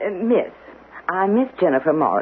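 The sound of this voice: Using a put-on character voice, a woman speaks at a moderate pace with a fairly low pitch, big pitch swings and a husky, rough edge.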